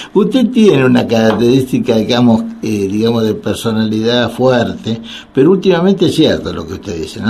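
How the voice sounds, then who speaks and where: A man speaks in a Rioplatense accent with lively intonation. Noticeable background noise is present. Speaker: radio host and psychiatrist. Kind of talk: radio call-in talk. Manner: halting, many fillers.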